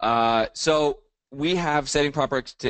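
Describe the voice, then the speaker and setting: A man at a fairly slow pace, with ordinary pitch variation, dry sound with no echo and a quiet background. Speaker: real estate coach. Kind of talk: lecture. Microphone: video call.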